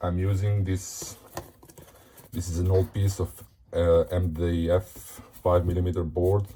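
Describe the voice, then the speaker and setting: Over noticeable background noise, a man with a very deep, low pitch and a non-native accent talks at a fairly slow pace in a monotone, flat intonation, with long, frequent pauses. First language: not English. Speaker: hobbyist tutorial maker. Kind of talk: tutorial. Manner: casual with hesitations.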